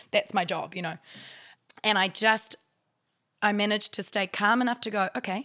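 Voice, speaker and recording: A woman with a New Zealand accent talks at a fairly quick pace in a medium pitch, with fairly even intonation and a bright, sharp tone. The sound is dry and close with no echo, in a very clean recording with a silent background. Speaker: actor and writer. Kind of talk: casual chat.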